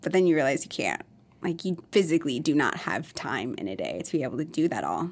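Speaking very fast with an American accent, a woman shows vocal fry and lively intonation. Her pitch is fairly low. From Minnesota and Iowa. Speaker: skin clinic owner, former nurse. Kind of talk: casual interview.

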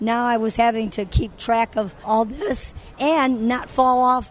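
A woman with an American accent, high-pitched and fairly slow. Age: 60s. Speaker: ministry founder and former stripper. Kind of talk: testimony. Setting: convention interview.

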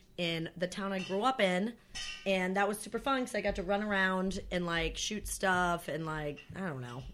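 Music plays in the background as a woman speaks at a fairly slow pace. She has an American accent and ordinary pitch variation. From northern New York State. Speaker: podcast guest, producer friend. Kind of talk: casual chat. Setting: home recording, friends chatting.

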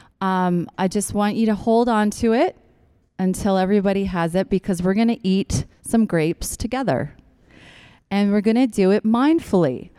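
With a dark, mellow tone, a woman speaks at a moderate pace and medium pitch, with ordinary pitch variation and very even loudness, on a very clean recording with a silent background. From Newfoundland, Canada. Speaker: chiropractor and acupuncturist, guest speaker. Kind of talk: church talk to a congregation.

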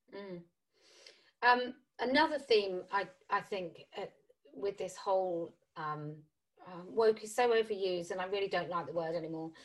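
Delivered at a moderate pace, the speech has lively intonation, big swings in loudness, and long, frequent pauses. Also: woman, medium pitch for a woman. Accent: British. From UK. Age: 40s. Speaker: podcast host. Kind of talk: interview.

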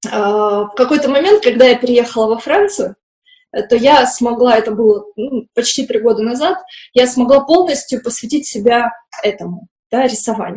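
Lively intonation in a woman's high voice. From post-Soviet industrial town. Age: 30s. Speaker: children's art teacher. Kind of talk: interview. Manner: hesitant.

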